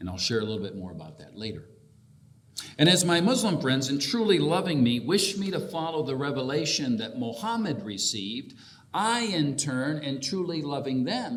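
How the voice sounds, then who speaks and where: A man with a fairly high pitch speaks at a moderate pace, with very wide pitch swings and big swings in loudness. Audible room echo surrounds the voice. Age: 50s. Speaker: bishop. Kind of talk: keynote speech. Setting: convention hall with audience.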